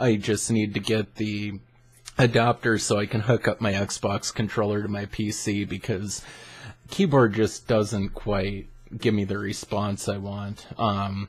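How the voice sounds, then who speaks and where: This man's voice sits at a fairly low pitch and sounds somewhat breathy. His intonation stays fairly even. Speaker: gaming YouTuber. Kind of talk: casual vlog monologue. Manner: monotone.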